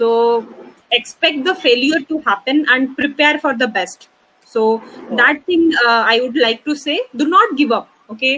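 Raised and projected, a woman's high-pitched voice moves at a fairly slow pace with ordinary pitch variation. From India (Odisha). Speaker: entrepreneur. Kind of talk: interview. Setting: live stream.

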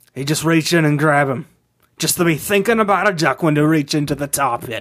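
A man speaks fairly quickly at a fairly high pitch with ordinary pitch variation. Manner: gruff, sardonic, grudging.

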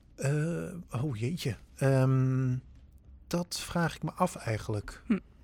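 A man, somewhat breathy and at medium pitch, speaks at a very slow pace with lively intonation on a very clean recording with a silent background. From Netherlands, northern Drenthe. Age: 30s. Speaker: theatre actor and improv teacher. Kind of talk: casual chat.

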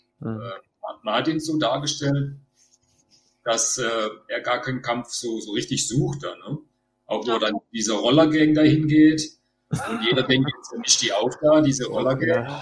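A man's somewhat breathy voice, fairly high in pitch, at a fairly slow pace with big swings in loudness. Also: ordinary pitch variation. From Baden-Württemberg. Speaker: Star Wars cosplayer. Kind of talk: casual chat.

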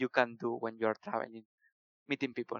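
A man with a Spanish accent speaks with fairly even intonation. The sound is dry and close, with no echo. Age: 20s. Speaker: software developer. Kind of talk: casual interview. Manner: halting.

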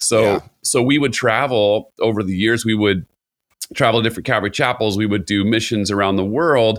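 In an American accent, a man with an unremarkable speaking voice talks at a fairly low pitch and a fairly quick pace with fairly even intonation, on a very clean recording with a silent background. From Southern California, Costa Mesa. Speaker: worship pastor. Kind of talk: casual conversation.

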